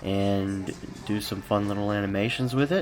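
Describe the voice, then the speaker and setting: Music plays in the background behind a man. His pitch is fairly low and his intonation fairly even. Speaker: motion graphics designer. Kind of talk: behind-the-scenes narration.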